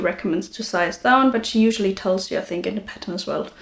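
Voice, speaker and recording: The pace is fairly quick. The voice is somewhat breathy. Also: woman. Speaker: knitting podcaster. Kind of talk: casual talk to camera. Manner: chatty, hesitant with many fillers.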